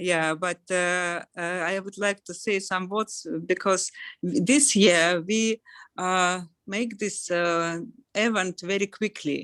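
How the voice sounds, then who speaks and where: A woman with a Russian accent talks very slowly at a medium pitch and with fairly even intonation, the sound dry and close with no echo. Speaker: event organizer. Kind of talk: closing remarks. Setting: video call. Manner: halting.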